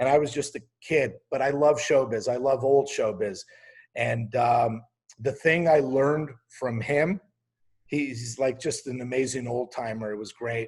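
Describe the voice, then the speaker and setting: The man's voice is somewhat breathy, sitting at a medium pitch. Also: ordinary pitch variation. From Quebec, Canada. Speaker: TV comedy writer and showrunner. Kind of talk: casual interview talk.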